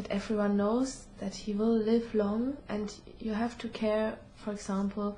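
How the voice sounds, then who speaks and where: A woman speaks at a fairly slow pace with monotone, flat intonation. Noticeable background noise and audible room echo surround her voice. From Germany. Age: 20s. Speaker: student. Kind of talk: interview. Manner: halting.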